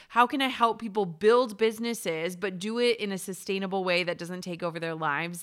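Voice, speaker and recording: With a medium pitch and a plain, everyday voice, a woman talks at a fairly quick pace with hardly any pauses and ordinary pitch variation, in a very clean recording with a silent background. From Minnesota, US. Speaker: entrepreneur and podcast host. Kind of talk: interview.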